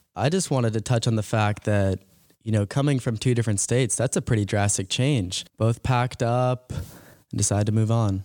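The man has a normal speaking voice with an American accent, a medium pitch, ordinary pitch variation and very even loudness, recorded very cleanly over a silent background. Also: moderate pace. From Massachusetts, Boston area. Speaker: college student podcast host. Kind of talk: casual chat.

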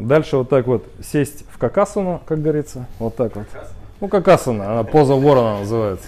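A man with an unremarkable speaking voice talks fairly quickly at a medium pitch with lively intonation. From Russia, Khabarovsk. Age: 50s. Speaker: speaker club organizer, entrepreneur. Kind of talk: casual talk to a small group. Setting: cafe.

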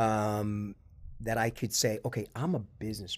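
In an American accent, the speaker's tone comes across dark and mellow. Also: man. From Long Island, New York. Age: 50s. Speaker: corporate lawyer and business owner. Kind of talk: casual interview chat.

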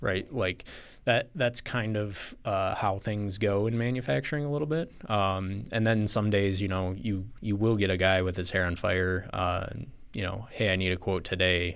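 In a very clean recording with a silent background, a man with an American accent speaks at a moderate pace in an unremarkable speaking voice. His pitch is fairly low, with ordinary pitch variation. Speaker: sales manager in manufacturing. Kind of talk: interview conversation.

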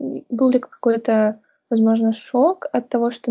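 A woman with an unremarkable speaking voice talks at a fairly high pitch, her intonation fairly even. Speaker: podcast host. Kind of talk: casual interview chat.

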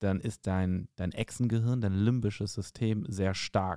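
Slowly and deliberately, at a very slow pace, a man speaks in a dark, mellow tone with fairly low pitch and fairly even intonation. The recording is very clean, dry and close with no echo, over a silent background. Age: 40s. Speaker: podcast host and stand-up comedian. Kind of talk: casual chat.

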